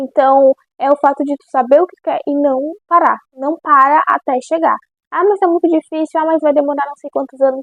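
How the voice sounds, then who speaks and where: A woman talks at a moderate pace with a high pitch and fairly even intonation. Her loudness swings widely. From Brazil. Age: 20s. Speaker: content creator and stylist. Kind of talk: casual vlog advice talk. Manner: halting, frequent self-corrections.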